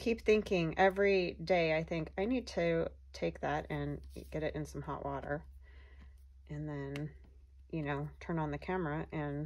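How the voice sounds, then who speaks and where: A woman mumbles at a fairly slow pace, with long, frequent pauses. The recording is very clean, with a silent background. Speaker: craft video creator. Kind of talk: casual crafting tutorial. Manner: soft-spoken; mumbles while working.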